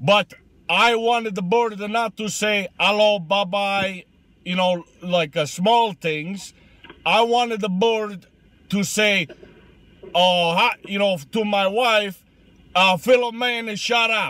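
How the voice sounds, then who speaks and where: A man speaks very slowly at a high pitch, with a bright, sharp tone. His intonation is fairly even and the sound is dry with no echo. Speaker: comedian in character. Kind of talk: comedic character monologue. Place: car. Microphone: phone near.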